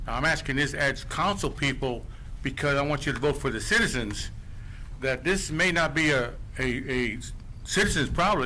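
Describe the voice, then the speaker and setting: A man speaks at a fairly quick pace, with audible room echo. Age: 70s. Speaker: resident speaking at public meeting. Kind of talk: public comment at council meeting.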